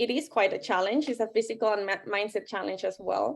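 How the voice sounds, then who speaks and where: Woman with a non-native accent and lively intonation, on a very clean recording with a silent background. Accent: foreign. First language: not English. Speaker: life coach and author. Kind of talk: interview.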